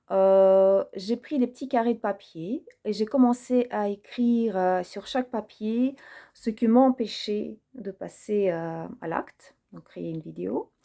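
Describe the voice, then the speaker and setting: With a non-native accent, a woman speaks at a very slow pace in a fairly high, dark, mellow voice with ordinary pitch variation. The recording is very clean, with a silent background. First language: not French (speaking French). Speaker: personal development video creator. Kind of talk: personal reflective monologue. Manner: hesitant, many fillers.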